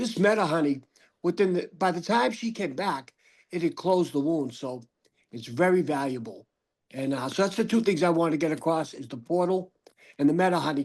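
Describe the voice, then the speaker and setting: A man with a Boston accent, high in pitch, fairly quick in pace, and lively in intonation. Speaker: audience member with spinal cord injury. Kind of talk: casual remarks in Q&A.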